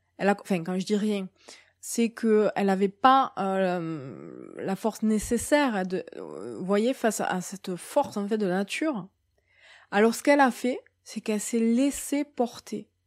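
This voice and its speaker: Speaking at a fairly slow pace, a woman uses a medium pitch and lively intonation. The sound is dry and close with no echo, in a very clean recording with a silent background. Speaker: medium and spiritual guide. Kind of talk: monthly spiritual guidance talk. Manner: hesitant, many fillers.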